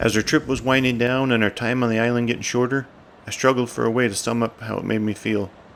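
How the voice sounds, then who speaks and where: With a Newfoundland accent, a man rattles along at a very fast pace, his medium pitch held in a monotone, flat intonation. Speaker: outdoor vlogger. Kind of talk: scripted narration.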